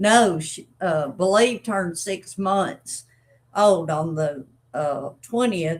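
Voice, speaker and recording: A woman in an Arkansas accent speaks at a very slow pace. Her pitch varies in an ordinary way. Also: fairly low pitch for a woman. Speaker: dog breeder. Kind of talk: live stream chat. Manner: casual, halting with fillers.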